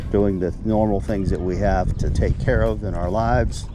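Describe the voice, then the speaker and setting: The sound is dry, with no echo, and background noise is noticeable. A man speaks at a moderate pace. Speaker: angler vlogger. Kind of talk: casual vlog chat. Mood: cheerful, relaxed. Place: waterside. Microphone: phone near.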